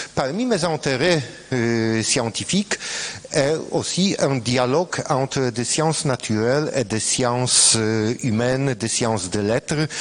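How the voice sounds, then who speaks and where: A man's very slow, medium-pitched speech in a non-native accent, with ordinary pitch variation and noticeable background noise. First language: Polish (speaking French). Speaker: scientist, former student. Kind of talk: colloquium talk. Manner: halting, hesitant.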